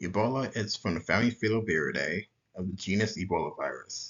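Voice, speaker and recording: At a moderate pace, a man with an unremarkable speaking voice talks in a fairly low pitch with ordinary pitch variation. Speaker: student presenter.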